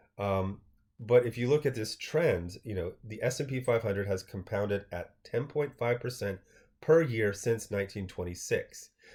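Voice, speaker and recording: A man speaks at a moderate pace with a somewhat breathy voice, recorded very cleanly against a silent background. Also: medium pitch for a man, ordinary pitch variation. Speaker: finance vlogger. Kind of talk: casual commentary on an article. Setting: screen capture video. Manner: stuttering.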